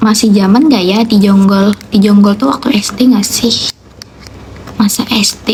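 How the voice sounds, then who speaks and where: Over noticeable background noise, a woman at medium pitch speaks at a fairly slow pace with very even loudness and fairly even intonation. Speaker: live streamer. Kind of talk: casual chat with live chat viewers.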